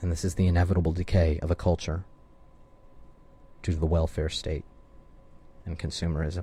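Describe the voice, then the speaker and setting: With an American accent, a man speaks at a very deep, low pitch in a dark, mellow, somewhat breathy tone. His intonation is monotone and flat, and his fairly quick pace is broken by long, frequent pauses. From US South, Ozarks of Arkansas. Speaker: radio host. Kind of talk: radio monologue.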